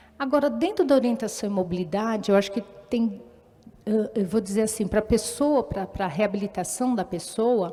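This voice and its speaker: Her voice is fairly high-pitched with a dark, mellow tone, and the woman's pitch varies an ordinary amount. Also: moderate pace. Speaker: orientation and mobility teacher. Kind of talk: talk at a live event. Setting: stage with audience, microphone. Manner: loud.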